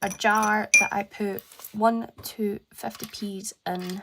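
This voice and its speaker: A woman speaks with a Scottish accent. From Scotland. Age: 20s. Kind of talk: casual talk to camera.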